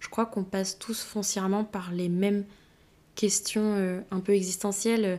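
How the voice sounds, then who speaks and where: Speaking at a fairly slow pace, a woman uses a dark, mellow tone at medium pitch with monotone, flat intonation. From Brittany, France. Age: 20s. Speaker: podcast host, physiotherapist. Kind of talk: casual monologue.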